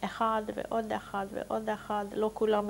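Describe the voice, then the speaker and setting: A woman talks at a very slow pace. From Hungary. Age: 60s. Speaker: Holocaust survivor. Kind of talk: testimony. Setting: recorded interview.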